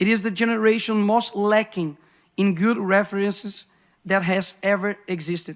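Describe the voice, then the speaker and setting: Speaking in a Brazilian Portuguese accent, a man with a high voice keeps a fairly even intonation at a moderate pace in a very clean recording with a silent background. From Brazil, Belo Horizonte. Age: 20s. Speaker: politician. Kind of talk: speech.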